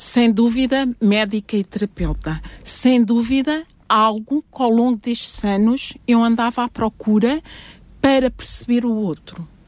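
Using a normal speaking voice, a woman with a fairly high pitch talks at a fairly slow pace with fairly even intonation in a dry, close sound with no echo. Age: 60s. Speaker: family doctor and family therapist. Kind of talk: interview.

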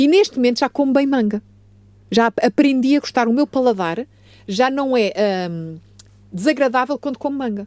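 Set against a very clean, silent background, a woman with a high pitch speaks with lively intonation and long, frequent pauses. The sound is dry and close, with no echo. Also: moderate pace. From Portugal. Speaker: family doctor. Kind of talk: radio health talk. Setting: radio studio.

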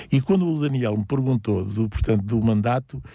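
A man with a dark, mellow tone speaks at a moderate pace with ordinary pitch variation. The recording is very clean, with a silent background. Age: 70s. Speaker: local parish council president. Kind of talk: radio interview. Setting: studio. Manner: halting, many repetitions.

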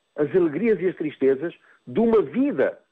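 Fairly slow speech from a man, high in pitch and lively in intonation. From Mozambique. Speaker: psychotherapist. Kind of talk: radio interview. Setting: phone call. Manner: halting, many repetitions and fillers.

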